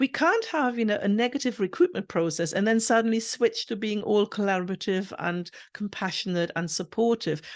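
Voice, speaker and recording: Against a quiet background, a woman with a fairly high pitch speaks at a moderate pace with lively intonation, the sound dry and close with no echo. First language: not English. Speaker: university recruitment professional. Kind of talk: interview.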